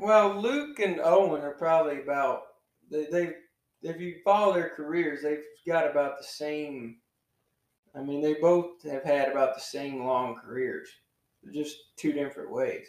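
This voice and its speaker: A man with a plain, everyday voice speaks at a fairly slow pace and a fairly high pitch. His pitch variation is ordinary, while his loudness swings widely. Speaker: podcast host. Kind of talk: casual chat. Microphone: new audio equipment, poor sound quality.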